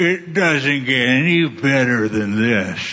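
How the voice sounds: Someone speaks at a fairly slow pace in a put-on character voice. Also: man, medium pitch for a man.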